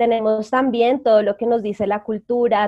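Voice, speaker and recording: Here is an ordinary speaking voice from a woman, fairly high in pitch with fairly even intonation. She keeps a moderate pace, and the sound is dry and close with no echo. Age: 20s. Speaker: psychologist and energy coach. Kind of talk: interview.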